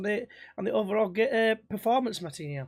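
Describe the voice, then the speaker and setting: A man with a Yorkshire accent, lively intonation and a moderate pace, in a very clean recording with a silent background. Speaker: football podcast host. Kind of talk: casual chat.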